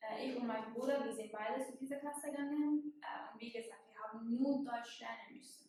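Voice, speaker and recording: A woman speaks with hardly any pauses in a high-pitched voice that has a dark, mellow tone and fairly even intonation. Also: moderate pace. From Syria (Damascus). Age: 20s. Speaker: university student, migrant. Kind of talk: personal testimony. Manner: halting with many fillers.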